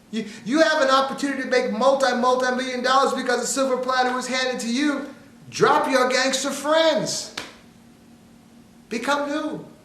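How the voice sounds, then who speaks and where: Over noticeable background noise and audible room echo, a man speaks in an animated tone at an extremely high pitch. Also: moderate pace. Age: 60s. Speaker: motivational speaker. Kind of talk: motivational talk. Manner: repetitive, stammering restarts.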